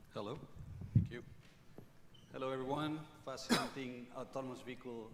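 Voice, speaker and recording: Moderate pace and ordinary pitch variation in a man's medium-pitched voice, with audible room echo around it. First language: not English. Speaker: technology company speaker. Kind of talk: conference presentation. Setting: stage with audience.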